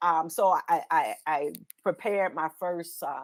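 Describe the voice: Her pace is fairly slow. The woman's pitch is low. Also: ordinary pitch variation.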